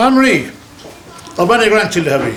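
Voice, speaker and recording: There is noticeable background noise and audible room echo. A man speaks with very wide pitch swings. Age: 60s. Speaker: Irish traveller family head. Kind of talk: casual chat.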